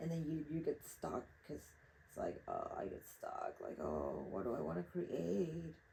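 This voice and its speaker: A woman with a Spanish accent at a fairly slow pace. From Mexico, Acapulco. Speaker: artist. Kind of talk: casual monologue while painting.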